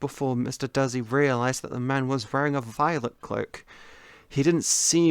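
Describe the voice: This is plain reading aloud. The pitch stays fairly level throughout.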